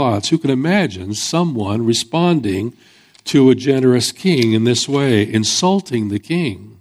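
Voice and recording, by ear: Intonation moves in a lively way. The speaker is reading aloud in a natural voice.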